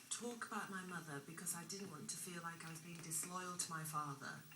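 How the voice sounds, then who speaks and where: A woman with a fairly low pitch talks at a fairly quick pace, with audible room echo and noticeable background noise. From England (raised from age five, born abroad). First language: not English (learned English at school). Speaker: former drug addict interviewed on TV. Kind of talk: TV interview, personal testimony. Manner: hesitant, many fillers.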